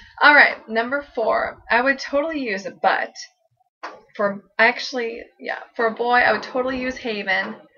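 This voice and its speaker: Her pitch is high and shows ordinary pitch variation as this woman speaks at a moderate pace. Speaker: vlogger. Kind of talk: casual vlog, partly pre-written answers. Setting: seated in a squeaky chair at home. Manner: stutter.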